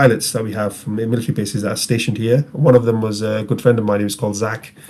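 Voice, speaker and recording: A man with a medium pitch races along at a very fast pace, his intonation fairly even. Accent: northern English. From northern England, Rochdale. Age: 30s. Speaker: tabletop game player. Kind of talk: casual interview chat.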